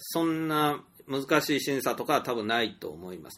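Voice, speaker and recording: A man speaks at a moderate pace with lively intonation and a bright, sharp tone. The recording is very clean, with a silent background. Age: 40s. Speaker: storyteller and indie game developer. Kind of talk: solo monologue podcast. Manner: hesitant, many fillers.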